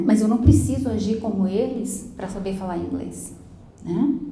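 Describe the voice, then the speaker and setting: A woman talks at a moderate pace with ordinary pitch variation, heard with audible room echo and noticeable background noise. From Brazil. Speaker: school English teacher. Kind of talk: lecture.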